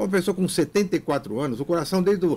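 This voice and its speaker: A man's dark, mellow voice with lively intonation, on a very clean recording against a silent background. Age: 60s. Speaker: physical education professor. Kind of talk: radio interview. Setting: radio studio. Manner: animated.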